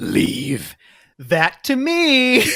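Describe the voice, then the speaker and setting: Here a man puts on a character voice. His pitch is extremely high. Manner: mimicking a character.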